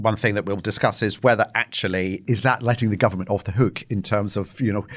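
At a fairly quick pace, a man uses an ordinary speaking voice with a fairly low pitch and ordinary pitch variation, on a very clean recording with a silent background. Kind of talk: interview.

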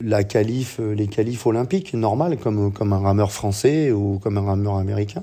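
Fairly low male speech, dark and mellow in tone, its intonation fairly even. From northern France, Boulogne-sur-Mer. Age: 50s. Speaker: rowing coach. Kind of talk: interview. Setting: remote interview.

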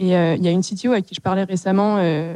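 A plain, everyday voice moves at a fairly quick pace with ordinary pitch variation. The sound is dry and close, with no echo. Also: woman. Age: 20s. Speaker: startup CTO. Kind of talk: panel discussion. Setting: stage with audience.

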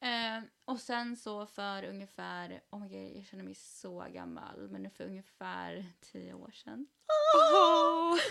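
A woman speaks at a very slow pace, her loudness rising and falling sharply. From Sweden. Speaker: podcast host. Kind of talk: casual chat. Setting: at home.

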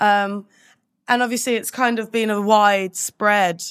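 A woman's plain, everyday voice at medium pitch, fairly slow, on a very clean recording with a silent background. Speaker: podcast host. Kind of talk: casual interview chat.

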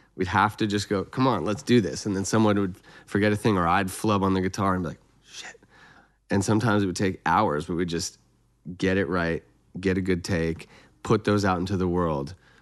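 A man talks at a fairly quick pace in a very deep, low pitch with fairly even intonation. The background is quiet. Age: 30s. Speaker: songwriter and producer. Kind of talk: casual chat.

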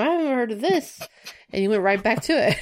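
In a very clean recording with a silent background, a woman uses a normal speaking voice, fairly high in pitch, talking at a fairly quick pace with lively intonation. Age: 30s. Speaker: gaming podcast guest. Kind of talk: casual chat.

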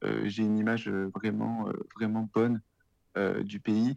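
Fairly slow in pace, a man speaks at a fairly low pitch. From France, Lyon region. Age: 30s. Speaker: freelance content writer living abroad. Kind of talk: interview conversation. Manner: hesitant, many fillers.

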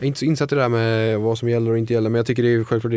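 The background is silent and the recording very clean. A man talks at a medium pitch, his intonation fairly even. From Sweden, Falkenberg (Halland). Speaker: chef. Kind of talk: casual interview.

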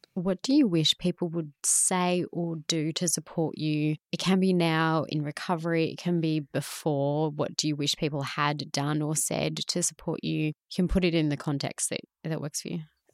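A woman with an Australian accent speaks at a moderate pace in a very deep, low voice, her intonation flat and monotone, on a very clean recording with a silent background and a dry, close sound with no echo. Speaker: podcast host. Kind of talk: casual interview.

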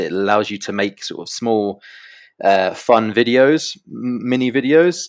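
Here a man talks with a slight British accent at a moderate pace. His pitch varies in an ordinary way, and the recording is very clean with a silent background. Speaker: crypto news journalist. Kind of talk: interview. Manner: hesitant, many fillers.

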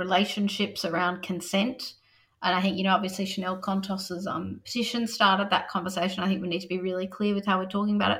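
A woman with an Australian accent, medium pitch, a fairly quick pace and fairly even intonation. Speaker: teacher and author. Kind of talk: interview.

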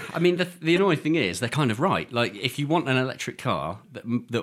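With an English accent, a man speaks with very wide pitch swings. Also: very clean recording, silent background. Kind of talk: casual chat. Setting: studio.

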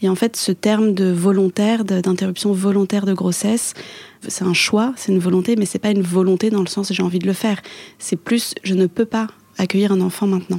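Medium in pitch, a woman speaks at a fairly quick pace with very even loudness. Her intonation is monotone and flat. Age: 20s. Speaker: author. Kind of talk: interview. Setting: restaurant.

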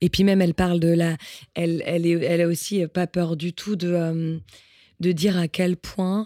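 Intonation stays monotone and flat. The recording is very clean with a silent background, and the sound is dry and close with no echo. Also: woman, fairly low pitch for a woman, moderate pace. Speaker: singer-songwriter. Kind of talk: casual chat.

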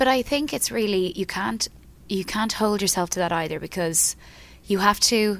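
Vocal fry runs through this woman's voice as she speaks at a moderate pace. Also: medium pitch for a woman, ordinary pitch variation.

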